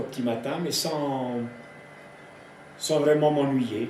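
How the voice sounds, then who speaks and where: Fairly slow, fairly even delivery amid noticeable background noise and audible room echo. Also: man. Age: 80s. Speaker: farmer. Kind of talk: interview storytelling. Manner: halting, many repetitions.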